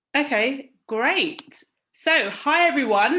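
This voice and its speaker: A bright, sharp tone with lively intonation in a British accent. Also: woman. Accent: very British. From London, England. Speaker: panel moderator, work consultant. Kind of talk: moderated panel discussion. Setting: virtual event video call.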